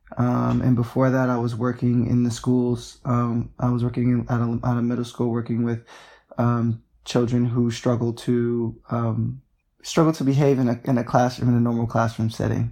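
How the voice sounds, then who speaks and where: A man speaks at a moderate pace with an American accent, his medium-pitched voice dark and mellow in tone and flat, monotone in intonation, on a very clean recording with a silent background. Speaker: activist. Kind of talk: interview.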